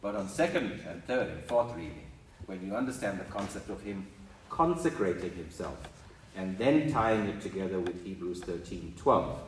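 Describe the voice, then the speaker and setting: Intonation is lively and the pace moderate, with big swings in loudness. Noticeable background noise runs underneath. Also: man, fairly low pitch for a man. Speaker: congregation member. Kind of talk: Bible reading and discussion.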